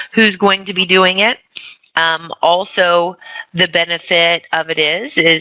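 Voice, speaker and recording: With a dry, close sound and no echo, a woman in an ordinary speaking voice talks at a fairly slow pace and a fairly low pitch. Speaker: fitness coach team leader. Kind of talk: team training call.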